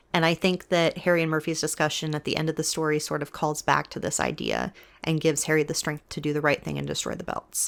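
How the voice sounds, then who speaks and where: Speaking at a very fast pace with hardly any pauses, a woman uses a very deep, low pitch, vocal fry and a monotone, flat intonation. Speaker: book commentary youtuber. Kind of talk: video essay monologue. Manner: soft, not projecting.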